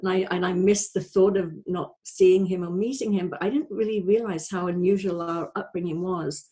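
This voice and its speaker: A woman's medium-pitched, dark and mellow voice, somewhat breathy, at a moderate pace with fairly even intonation. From North Wales. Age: 60s. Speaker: life coach. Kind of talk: testimony. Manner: halting, many fillers.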